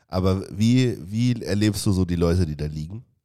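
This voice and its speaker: The voice carries a dark, mellow tone with ordinary pitch variation. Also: man. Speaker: podcast host. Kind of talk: casual chat. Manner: animated.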